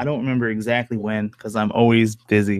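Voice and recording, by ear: Fairly quick in pace, a man speaks at a fairly low pitch with little pitch movement.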